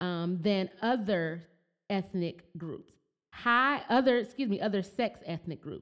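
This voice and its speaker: In an American accent, a plain, everyday voice speaks with lively intonation on a very clean recording with a silent background. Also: woman, medium pitch for a woman, fairly slow pace. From Flint, Michigan. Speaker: podcast host. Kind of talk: casual interview chat; reading statistics aloud.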